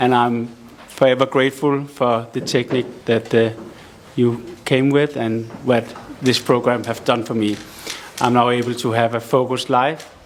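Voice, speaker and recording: Speaking with a Danish accent, a man keeps a monotone, flat intonation and leaves long, frequent pauses. Noticeable background noise runs underneath. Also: medium pitch for a man, moderate pace. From Denmark. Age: 40s. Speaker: audience member, recovering addict. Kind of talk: testimony and question.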